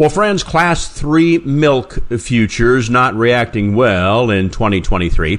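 A man at a medium pitch speaks with lively intonation in an ordinary speaking voice. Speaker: farm radio host. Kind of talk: radio host presenting farm news.

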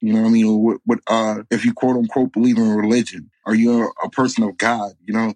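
A man with an American accent at a medium pitch, fairly quick and with hardly any pauses, in a monotone, flat delivery. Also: dry, close sound with no echo. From New York, Bronx and upstate. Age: 30s. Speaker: life coach podcaster. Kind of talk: casual interview chat. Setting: remote call.

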